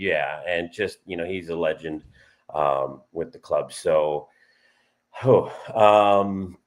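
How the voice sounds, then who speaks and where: This man talks at a very slow pace. Long pauses come often. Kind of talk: podcast discussion, casual talk. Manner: conversational, fluent with fillers.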